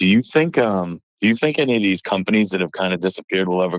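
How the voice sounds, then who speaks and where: A man's very deep, low voice with an American accent, moderate pace, and a dry, close sound with no echo. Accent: Boston accent, barely noticeable when calm. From north of Boston, Massachusetts. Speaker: card collector caller. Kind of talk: phone-in question. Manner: calm, cool-tempered.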